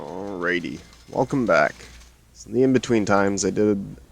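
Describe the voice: The pitch moves in an ordinary way. Someone reads aloud plainly.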